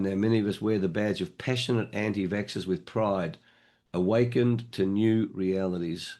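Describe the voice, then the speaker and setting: A man talks in an Australian accent with a dark, mellow tone and ordinary pitch variation. The background is quiet. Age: 70s. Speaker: online meeting moderator. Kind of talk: meeting moderation. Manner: animated.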